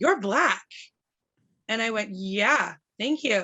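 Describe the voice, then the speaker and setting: In a Canadian accent, a woman speaks at a moderate pace in an animated tone. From Canada, Ottawa. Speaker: writer and activist. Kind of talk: podcast interview. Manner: loud.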